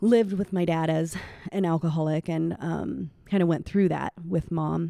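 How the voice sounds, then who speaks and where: Speaking with a Midwestern US accent, a woman uses a fairly low, dark, mellow voice at a moderate pace with ordinary pitch variation. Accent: US Midwest. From Iowa. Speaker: elementary school teacher and church singer. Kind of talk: interview testimony.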